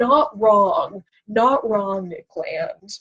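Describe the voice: A woman speaks at a very slow pace and medium pitch, her lively intonation carrying a fairly bright tone with a slightly husky edge.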